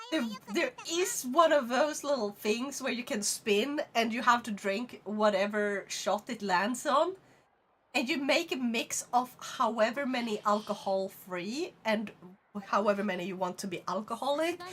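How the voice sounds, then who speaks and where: A woman with a Swedish accent speaks at a fairly high pitch and a fairly slow pace, using lively intonation. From Sweden. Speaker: VTuber streamer. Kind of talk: casual chat.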